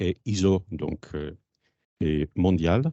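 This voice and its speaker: A man's very deep, low-pitched voice with a Polish accent. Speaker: company founder. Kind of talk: conference presentation. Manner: hesitant.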